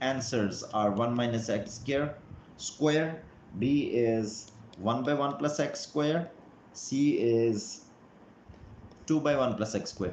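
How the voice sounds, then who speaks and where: A man at a very slow pace, with ordinary pitch variation and audible room echo. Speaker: math teacher. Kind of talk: live online math lesson. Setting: live stream. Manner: hesitant, many fillers.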